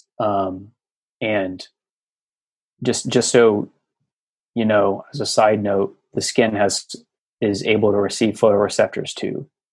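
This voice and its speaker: Long, frequent pauses break up a man's fairly slow speech. His intonation stays fairly even. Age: 30s. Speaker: podcast guest sharing healing story. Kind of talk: casual interview.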